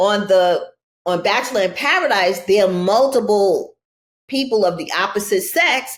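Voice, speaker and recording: With a New York accent, a woman speaks at medium pitch with ordinary pitch variation. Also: moderate pace. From New York City (Brooklyn). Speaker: reality TV contestant. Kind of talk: podcast interview.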